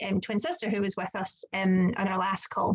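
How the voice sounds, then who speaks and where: A woman with a Scottish accent speaks with fairly even intonation over noticeable background noise. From Scotland. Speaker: children's occupational therapist and coach. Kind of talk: casual chat. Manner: hesitant, many fillers.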